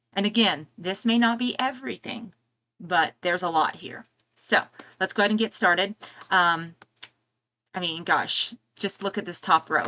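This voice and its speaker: A soft-spoken woman with a bright, sharp tone and long, frequent pauses. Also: medium pitch for a woman, ordinary pitch variation, moderate pace. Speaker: YouTuber reviewing movie and music deals. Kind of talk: live stream product run-through. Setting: home live stream. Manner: hesitant, many fillers.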